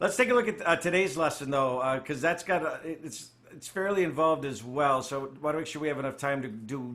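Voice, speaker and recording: A man with a plain, everyday voice speaks at a fairly quick pace with hardly any pauses. His pitch is fairly high, with ordinary variation and big swings in loudness. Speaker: spiritual study group leader. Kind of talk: study group teaching.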